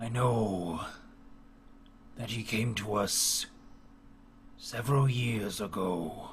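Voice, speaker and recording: A man's raspy, put-on character voice at medium pitch, very slow, with long, frequent pauses and clear background noise. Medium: actual play. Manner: archaic, solemn.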